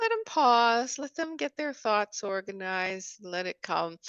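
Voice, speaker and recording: An unremarkable speaking voice belongs to a woman. She talks fairly slowly with lively intonation. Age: 60s. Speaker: author and spiritual guide. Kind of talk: interview conversation.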